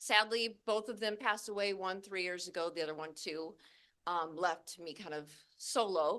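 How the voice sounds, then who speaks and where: Loud and bright with a sharp tone, a woman speaks at a moderate pace in a medium pitch with ordinary variation. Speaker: cannabis grower and instructor. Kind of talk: presentation to class audience.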